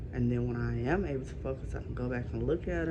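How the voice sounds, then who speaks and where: Noticeable background noise and audible room echo accompany a woman talking at a moderate pace. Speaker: vlogger with chronic illness. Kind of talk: casual vlog rant. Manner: halting, with many fillers.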